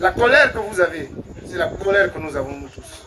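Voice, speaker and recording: A high-pitched man at a fairly slow pace, with ordinary pitch variation and noticeable background noise. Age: 60s. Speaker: political candidate. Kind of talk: campaign speech.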